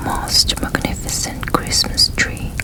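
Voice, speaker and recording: At a very slow pace, the words are whispered while noticeable background noise runs underneath. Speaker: ASMR storyteller. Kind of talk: whispered story reading, ASMR.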